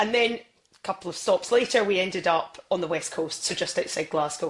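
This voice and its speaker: A woman with a Scottish accent speaks at a fairly quick pace against noticeable background noise. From Scotland. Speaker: football presenter. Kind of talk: podcast interview. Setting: podcast.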